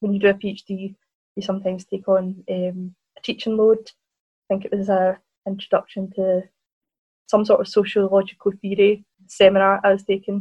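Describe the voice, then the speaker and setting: At a moderate pace, a woman speaks with monotone, flat intonation and long, frequent pauses, her somewhat breathy voice dark and mellow in a dry, close sound with no echo. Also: medium pitch for a woman. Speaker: researcher and author. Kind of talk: casual interview chat.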